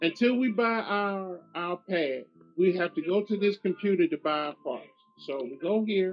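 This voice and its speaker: A high-pitched man with lively intonation at a moderate pace, music in the background. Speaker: gaming YouTuber. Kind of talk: gameplay commentary. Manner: casual, repetitive phrasing.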